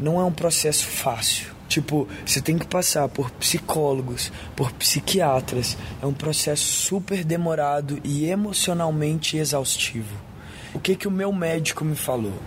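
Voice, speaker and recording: Loudness stays very even as a man with a fairly high pitch and ordinary pitch variation speaks through noticeable background noise. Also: fairly slow pace. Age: 20s. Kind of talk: recorded interview testimony.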